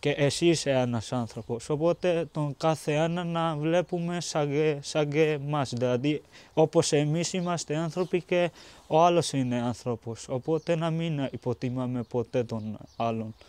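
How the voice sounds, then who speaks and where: A man with a normal speaking voice and fairly high pitch talks at a fairly slow pace, with ordinary pitch variation. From Pakistan. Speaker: refugee student. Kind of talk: documentary interview.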